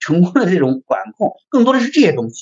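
With very wide pitch swings, a man talks at a fairly quick pace in a high pitch. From China, Henan (Zhengzhou). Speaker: design agency founder and packaging designer. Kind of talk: interview conversation.

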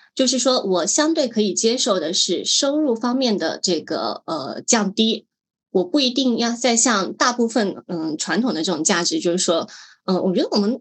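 With very wide pitch swings, a woman talks at a moderate pace in a fairly high pitch. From Guangdong, Hakka, Meizhou. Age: 30s. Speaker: blogger. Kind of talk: podcast interview.

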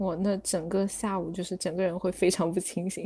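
Over music in the background, a woman speaks at a medium pitch with monotone, flat intonation. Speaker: student abroad. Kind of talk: casual chat.

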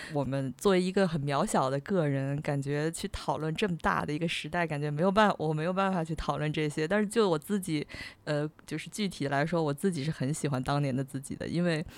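Her voice very deep and low, a woman speaks at a fairly quick pace. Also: ordinary pitch variation, very clean recording, silent background. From China, Tianjin. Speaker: podcast host, freelance writer. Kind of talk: casual chat.

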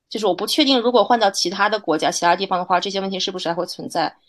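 Over a quiet background comes a normal speaking voice with ordinary pitch variation. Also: woman. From China. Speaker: journalist. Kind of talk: interview conversation.

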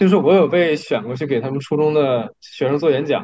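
The man's voice sits fairly high and moves with lively intonation. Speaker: podcast co-host. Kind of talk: casual chat.

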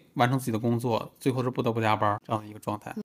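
This man's voice sits at a medium pitch. The recording is very clean, with a silent background. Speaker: podcast host. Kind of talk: casual chat.

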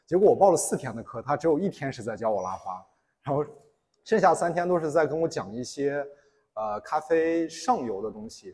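A fairly quick man's voice, fairly high-pitched with a dark, mellow tone and lively intonation, on a very clean recording with a silent background. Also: big swings in loudness. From Inner Mongolia. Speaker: barista and coffee instructor. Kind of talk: public talk.

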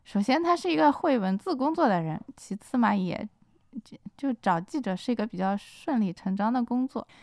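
Her voice makes very wide pitch swings, and this woman is heard dry and close with no echo on a very clean recording with a silent background. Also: fairly high pitch for a woman, moderate pace. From Shanghai. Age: 40s. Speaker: novelist. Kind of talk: casual chat. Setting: studio.

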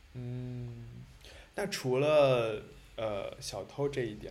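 A man speaks at a medium pitch with a somewhat breathy quality. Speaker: podcast co-host, moderator. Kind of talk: casual chat. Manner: animated, laughs often.

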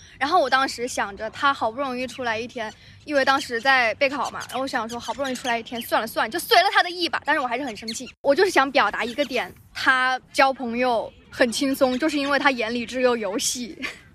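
A woman's raised, projected voice, high in pitch and bright and sharp in tone, rushes at a very fast pace with hardly any pauses and ordinary pitch variation. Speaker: podcast co-host. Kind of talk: casual chat. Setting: outdoors on grass by a library.

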